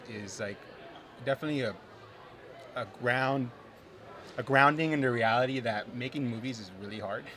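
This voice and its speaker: Someone talks at a moderate pace with ordinary pitch variation and long, frequent pauses, with audible room echo. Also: man. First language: not English. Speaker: filmmaker. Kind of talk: interview. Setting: live at film festival theatre.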